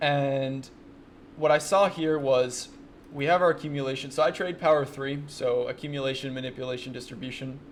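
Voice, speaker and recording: This man speaks at a fairly quick pace. His voice is fairly high, with fairly even intonation. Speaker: day trader and trading mentor. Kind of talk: screen-share trade recap tutorial. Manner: fast; casual, conversational.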